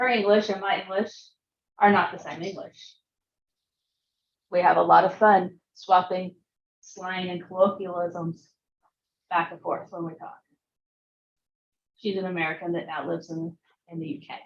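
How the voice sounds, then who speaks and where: A woman with a Southern US accent speaks at a moderate pace and medium pitch, her intonation fairly even, her loudness swinging widely, with long, frequent pauses. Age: old. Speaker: computer science teacher. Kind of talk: lecture.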